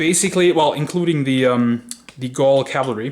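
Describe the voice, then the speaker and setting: A man talks as noticeable noise carries on in the background. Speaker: miniature wargaming hobbyist. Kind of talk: casual video walkthrough. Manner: hesitant, with fillers.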